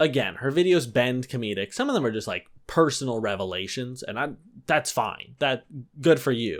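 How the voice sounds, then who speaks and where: Here is a normal speaking voice at a moderate pace. Its pitch varies in an ordinary way. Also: man, medium pitch for a man. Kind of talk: comedic commentary to camera.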